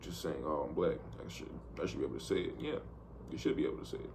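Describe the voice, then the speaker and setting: A man's voice carries audible room echo. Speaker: vlogger, amateur trader. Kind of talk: casual video diary monologue. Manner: casual, rambling with repetitions.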